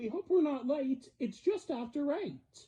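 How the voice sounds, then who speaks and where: A woman speaks fairly slowly in a high-pitched, put-on character voice. Her pitch stays high throughout. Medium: read story. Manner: eager, boastful.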